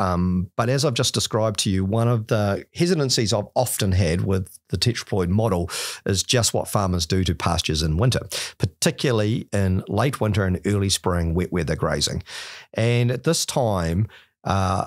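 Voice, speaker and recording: Speaking at a moderate pace over a quiet background, a man uses a fairly low pitch with ordinary pitch variation. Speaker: guest. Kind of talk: podcast interview explanation. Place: studio. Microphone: studio mic.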